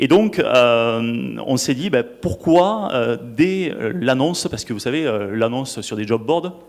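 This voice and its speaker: A man at medium pitch with a Toulouse accent, very slow pace and lively intonation. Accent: southern French (Toulouse). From southwest France, Toulouse. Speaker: marketing director, conference speaker. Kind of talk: conference panel talk. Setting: stage with audience. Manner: hesitant, many fillers and repetitions.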